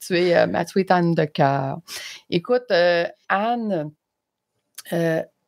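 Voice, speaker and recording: With a Quebec accent, a woman speaks at a very slow pace and a fairly low pitch, with ordinary pitch variation, long and frequent pauses, and a dry, close sound with no echo. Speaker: interviewer, podcaster. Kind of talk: casual interview chat.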